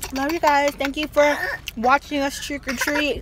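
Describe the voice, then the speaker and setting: Noticeable background noise runs under the speech, which comes at a moderate pace. The sound is dry, with no echo. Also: woman. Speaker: vlogger. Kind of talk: casual vlog chat.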